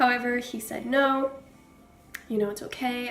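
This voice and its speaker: A fairly high-pitched woman at a moderate pace, amid noticeable background noise. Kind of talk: true crime narration to camera. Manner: casual, hesitant with many fillers.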